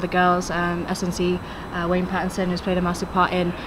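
The speech moves at a fairly quick pace. Background noise is noticeable. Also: woman. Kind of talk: interview answer. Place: stadium. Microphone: handheld.

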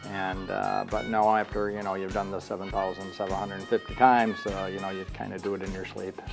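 Over clear background music, a man with a fairly low pitch talks at a fairly quick pace, with fairly even intonation and hardly any pauses. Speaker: auctioneer. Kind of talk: interview answer. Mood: relaxed, friendly. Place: office.

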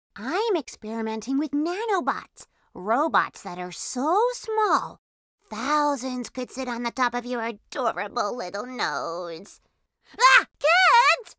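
A woman uses a cartoonish character voice, high-pitched with very wide pitch swings, speaking at a fairly slow pace in a dry, close sound with no echo. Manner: excited, explanatory.

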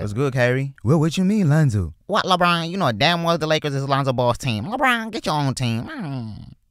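In a very clean recording with a silent background, a man speaks at a fairly quick pace in an animated tone, his fairly high pitch swinging very widely. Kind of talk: comedy roast skit. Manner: animated, mocking back-and-forth; fast, taunting, impersonating different players.

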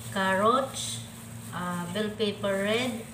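A woman's voice over noticeable background noise. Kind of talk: cooking tutorial. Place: kitchen. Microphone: camera far.

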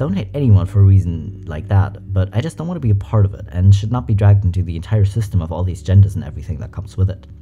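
Faint music sits in the background as a man speaks at a very fast pace. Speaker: reaction content creator. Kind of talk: commentary and reading comments aloud. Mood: amused, light. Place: home room. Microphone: studio mic.

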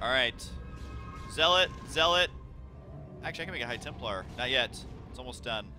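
A man's pitch leaps up and down dramatically while distinct background noise plays. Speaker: gaming video commentator. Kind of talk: let's play gameplay commentary. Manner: energetic, excited.

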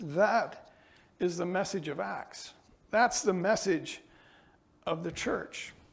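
The speech is very slow, with long, frequent pauses and ordinary pitch variation. An echo from the room can be heard. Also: man, high pitch for a man. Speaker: pastor. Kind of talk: sermon.

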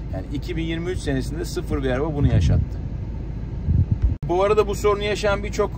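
Loud background noise beneath fairly quick talk. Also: man, dry sound with no echo. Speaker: car vlogger. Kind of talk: casual vlog chat. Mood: annoyed complaining about overheating. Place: car.

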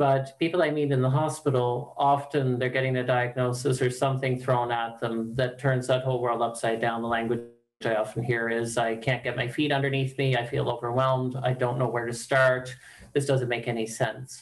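A man speaks at a fairly quick pace in a monotone, flat intonation. The background is quiet. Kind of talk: interview answer. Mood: calm, thoughtful. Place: home room. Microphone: video call.

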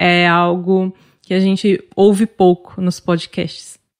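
Very slowly paced, the speech has a dry, close sound with no echo. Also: woman. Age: 30s. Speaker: podcast host. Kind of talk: interview moderation; scripted podcast intro.

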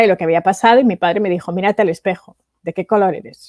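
A woman speaks at a fairly quick pace with a Spanish accent. The sound is dry with no echo, over a quiet background. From Spain (Valencia); Spain. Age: 40s. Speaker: entrepreneur and international speaker; speaker. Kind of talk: interview. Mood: reflective, recalling hard childhood. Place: home room. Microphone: headset.

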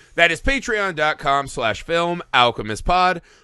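A man speaks in a bright, sharp tone, with a dry sound that has no echo and a quiet background. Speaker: podcast host. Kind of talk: podcast intro and announcements. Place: home room. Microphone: studio mic.

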